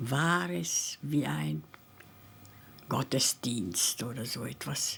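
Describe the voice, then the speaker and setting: Amid noticeable background noise, a woman talks with very wide pitch swings. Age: 90s. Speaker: Holocaust survivor musician. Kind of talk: testimony.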